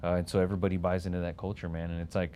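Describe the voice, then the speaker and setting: Very fast in pace, a man speaks in a very deep, low pitch. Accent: American. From Texas. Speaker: business executive, military veteran. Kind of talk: casual interview. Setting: studio.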